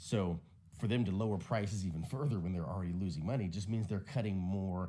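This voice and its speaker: A man speaks with a very deep, low pitch and a dark, mellow tone. Room echo is audible. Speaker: tech commentator. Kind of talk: casual commentary. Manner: fast.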